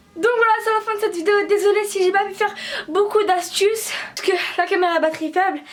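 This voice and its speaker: Amid noticeable background noise, a woman with an extremely high pitch speaks at a very fast pace and fairly even intonation. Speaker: beauty vlogger. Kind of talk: casual tutorial vlog.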